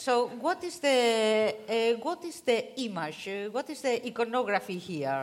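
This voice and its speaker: A woman with a fairly high voice talks at a very slow pace, her pitch swinging very widely and hardly any pauses breaking her speech. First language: not English. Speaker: panel moderator. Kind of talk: convention panel moderation. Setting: stage with audience.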